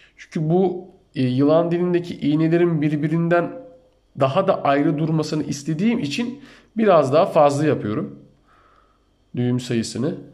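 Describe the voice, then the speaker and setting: Pausing long and often, a man talks at a fairly high pitch in a room with audible echo. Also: ordinary pitch variation. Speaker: amateur fishing youtuber. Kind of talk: tutorial. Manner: slow, step-by-step.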